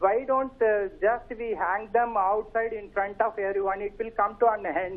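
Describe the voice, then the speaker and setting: This man talks at a moderate pace in a high voice with an Indian accent, fairly even intonation and hardly any pauses. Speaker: caller. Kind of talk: phone-in opinion. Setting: phone call. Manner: halting.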